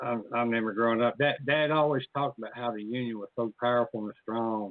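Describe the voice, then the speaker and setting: An ordinary speaking voice, a man at medium pitch keeps a moderate pace and fairly even intonation. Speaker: radio show host. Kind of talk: casual talk show interview.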